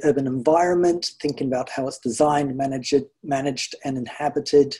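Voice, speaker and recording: Against a quiet background, a man with a New Zealand accent talks fairly quickly at a fairly high pitch, his tone dark and mellow and his intonation fairly even. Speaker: garden project organiser. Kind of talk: illustrated talk. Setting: video call. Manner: relaxed, frequent hedges like 'sort of'. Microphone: video call.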